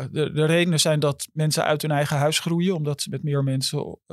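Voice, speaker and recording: A normal speaking voice moves at a moderate pace. The intonation stays fairly even. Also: man. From Amsterdam. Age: 50s. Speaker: journalist. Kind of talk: interview.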